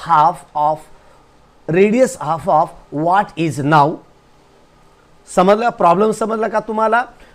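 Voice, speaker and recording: Here a man speaks at a high pitch with a non-native accent. His pitch variation is ordinary. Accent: non-native Hindi. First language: Marathi (speaking Hindi). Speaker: teacher. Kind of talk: lecture.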